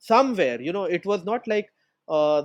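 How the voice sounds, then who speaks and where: The man's voice, with ordinary pitch variation, comes across as a dry, close sound with no echo. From India, Mumbai. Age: 30s. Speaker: entrepreneur. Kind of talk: podcast interview.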